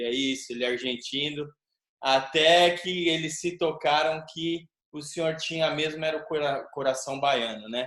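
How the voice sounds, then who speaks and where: A man with a normal speaking voice, fairly high in pitch, at a fairly slow pace. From Brazil. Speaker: capoeira teacher, interviewer. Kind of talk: interview.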